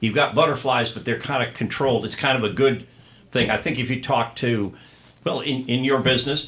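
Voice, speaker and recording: The speaker has a plain, everyday voice. The intonation is fairly even. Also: man, medium pitch for a man, fairly quick pace. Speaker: stadium PA announcer. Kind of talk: interview answer.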